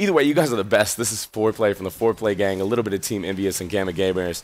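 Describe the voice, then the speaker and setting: A man talks in a fairly low pitch. His tone is energetic. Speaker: gaming YouTuber. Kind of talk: gameplay commentary. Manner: casual, energetic.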